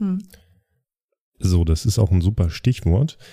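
Dry and close with no echo, a man's somewhat breathy voice has a dark, mellow tone. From East Westphalia, Germany. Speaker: podcast co-host. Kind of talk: casual chat.

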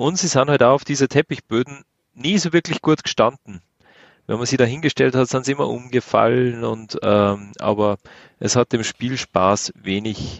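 An ordinary speaking voice, a man at medium pitch, moderate pace and lively intonation. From Austria. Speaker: podcast co-host. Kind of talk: casual chat.

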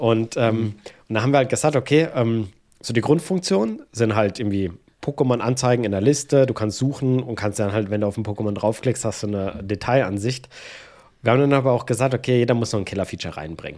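On a very clean recording with a silent background, a man talks very fast at medium pitch, with a dark, mellow tone and ordinary pitch variation. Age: 30s. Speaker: iOS developer and YouTuber. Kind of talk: casual interview chat.

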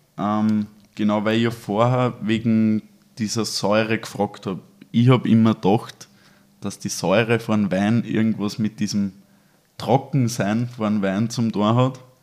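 A man talks in a fairly low pitch at a fairly slow pace, keeping his intonation fairly even. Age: 20s. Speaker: physiotherapy student. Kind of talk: casual chat. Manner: hesitant.

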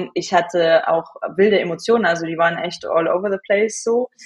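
Moderate pace and fairly even intonation from a woman, in a normal speaking voice of medium pitch. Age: 20s. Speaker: hormone and cycle coach. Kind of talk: interview.

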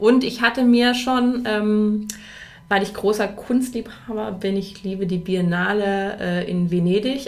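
The speech moves at a fairly slow pace with ordinary pitch variation. There is audible room echo. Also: woman. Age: 40s. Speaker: mother, course participant. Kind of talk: casual chat. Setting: studio.

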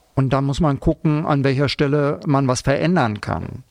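His voice sits at a medium pitch, and this man's pitch varies in an ordinary way. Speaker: school psychologist. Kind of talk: interview.

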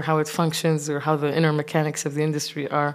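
A woman speaks with an Arabic accent in a very clean recording with a silent background. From Kuwait. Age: 30s. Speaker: visual artist. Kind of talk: interview.

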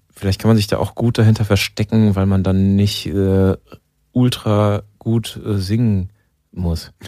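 A man speaks with a fairly low pitch and a dark, mellow tone, his intonation monotone and flat. His pace is fairly slow, on a very clean recording with a silent background. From Germany, Mainz. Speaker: band musician, bassist. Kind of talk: interview.

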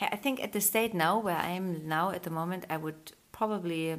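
This is a woman speaking. She has a German accent. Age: 30s. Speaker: podcast host, yoga studio owner. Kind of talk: casual interview. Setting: home recording with baby on lap.

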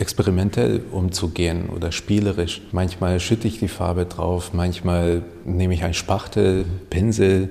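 In a Hungarian accent, a man with a very deep, low pitch and a dark, mellow, somewhat breathy tone speaks at a moderate pace with ordinary pitch variation. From Hungary, raised in Germany. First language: Hungarian (speaking German). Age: 30s. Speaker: painter and photographer. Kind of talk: interview.

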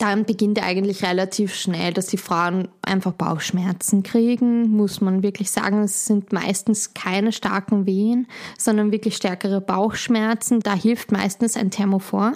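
A woman with a Viennese accent speaks at a fairly slow pace and medium pitch, with hardly any pauses, very even loudness and a monotone, flat intonation. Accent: Austrian German (Vienna area). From Austria, Schwechat near Vienna. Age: young. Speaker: midwife. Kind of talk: interview.

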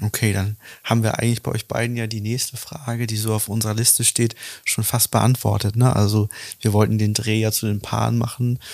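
A man talks at a fairly quick pace and a fairly low pitch with monotone, flat intonation on a very clean recording with a silent background. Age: 30s. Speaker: relationship coach and podcast host. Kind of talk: casual interview.

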